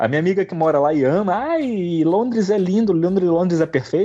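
A man's high-pitched voice has a dark, mellow tone and lively intonation. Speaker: podcast guest. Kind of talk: casual chat.

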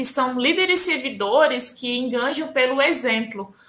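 Fairly slow speech in a northeastern Brazilian accent. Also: woman. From Northeast Brazil. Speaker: scrum master. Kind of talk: interview.

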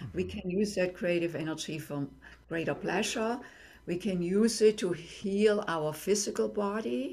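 A woman's medium-pitched voice with a German accent, lively intonation and a fairly slow pace. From Germany. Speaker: tantra and intimacy teacher. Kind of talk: interview.

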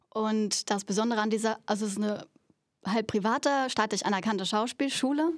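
A woman talks at a fairly quick pace in a fairly high pitch, with ordinary pitch variation and very even loudness. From Berlin, Germany. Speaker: stage actress. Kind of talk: casual interview. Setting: theatre venue.

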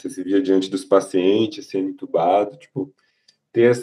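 An unremarkable speaking voice from a man with a fairly low pitch. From Salvador, Bahia, Brazil. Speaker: resident doctor. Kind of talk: casual chat.

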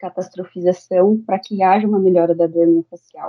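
This woman's pitch is medium and varies in an ordinary way, and she keeps a moderate pace. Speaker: dentist. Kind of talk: interview. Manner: halting.

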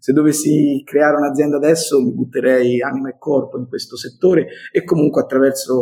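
A man speaks in a Tuscan accent at a fairly quick pace. His fairly high voice stays monotone and flat. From Tuscany, Italy (Montelupo). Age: 50s. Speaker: entrepreneur. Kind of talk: interview. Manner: emphatic.

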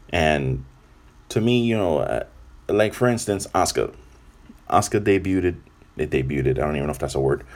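Talking at a fairly quick pace with long, frequent pauses, a man with an American accent uses a very deep, low pitch, vocal fry and lively intonation. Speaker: podcast host, wrestling reviewer. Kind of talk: casual monologue review. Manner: kept to medium volume.

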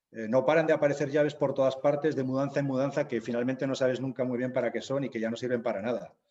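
Delivered very fast with hardly any pauses, a man's medium-pitched voice has a dark, mellow tone and flat, monotone intonation. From Zaragoza, Aragon, Spain. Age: 50s. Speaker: novelist and humanitarian worker. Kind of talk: interview.

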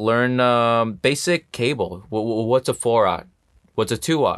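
A man talks at a moderate pace in a normal speaking voice with medium pitch and ordinary pitch variation. The background is quiet. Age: 30s. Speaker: film set electrician. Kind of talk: interview.

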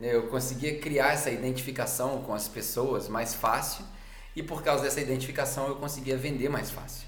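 With audible room echo and noticeable background noise, a man speaks at a medium pitch and fairly even intonation. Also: moderate pace. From Brazil. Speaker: podcaster. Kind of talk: casual monologue; sermon.

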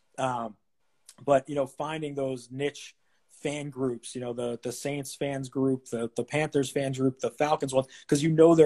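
The voice has a dark, mellow tone and an American accent at a moderate pace. The sound is dry and close, with no echo. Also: man. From Boston, Massachusetts. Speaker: sports ticket salesman. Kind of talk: interview. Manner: halting.

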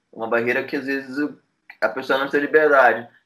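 This man's voice is fairly high in pitch, with a bright, sharp tone. His intonation stays fairly even. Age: 20s. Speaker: music journalist and publicist. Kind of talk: casual interview.

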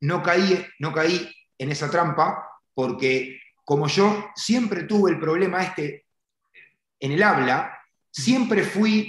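With a Uruguayan accent, a man talks in a high voice, leaving long, frequent pauses, and the room echo is audible. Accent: Uruguayan Spanish (rioplatense). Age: 40s. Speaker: car detailing entrepreneur and trainer. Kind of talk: interview conversation.

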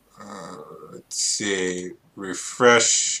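With an American accent, a man is talking. The tone of his voice is bright and sharp. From California. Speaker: political commentary streamer. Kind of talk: casual chat. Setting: video call.

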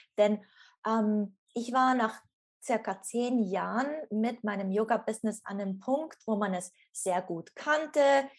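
A fairly high-pitched woman at a very slow pace, with ordinary pitch variation. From Switzerland. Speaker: former yoga teacher and coach. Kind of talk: interview, personal story.

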